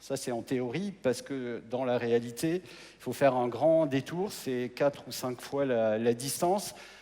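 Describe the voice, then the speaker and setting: Speaking at a very slow pace, a man with a dark, mellow tone shows ordinary pitch variation and big swings in loudness. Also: medium pitch for a man. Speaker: mayor. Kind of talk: presentation on stage. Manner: hesitant, with repetitions.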